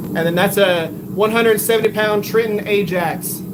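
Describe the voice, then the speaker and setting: This man's voice is high-pitched, with very even loudness, fairly even intonation and a moderate pace, set against noticeable background noise and audible room echo. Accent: Texan. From Texas. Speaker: bladesmith livestreamer. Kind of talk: live stream chat while forging. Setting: home workshop. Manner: casual, conversational.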